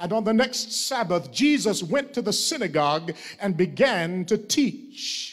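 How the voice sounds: Intonation rises and falls in a lively way. The delivery is a natural reading voice.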